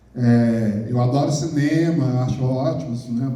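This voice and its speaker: Audible room echo surrounds a man speaking at a very slow pace, his medium pitch carried in fairly even intonation. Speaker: poet. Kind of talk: talk to an audience.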